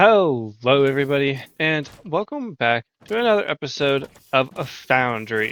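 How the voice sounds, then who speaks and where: A quiet man at a fairly high pitch, with lively intonation and a fairly slow pace. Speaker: gaming video creator. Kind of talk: gameplay commentary. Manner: quieter, laid back.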